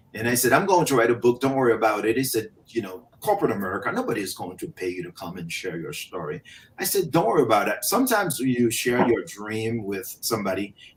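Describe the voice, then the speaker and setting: The speech comes at a very fast pace with hardly any pauses, lively intonation and big swings in loudness. Noticeable background noise sits behind it. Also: man, medium pitch for a man. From Haiti. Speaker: motivational speaker. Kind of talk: interview.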